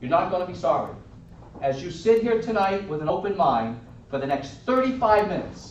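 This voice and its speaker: A high-pitched man with a Boston accent, lively intonation and a moderate pace, amid noticeable background noise and audible room echo. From Boston, Massachusetts. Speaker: network marketing distributor. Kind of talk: sales pitch.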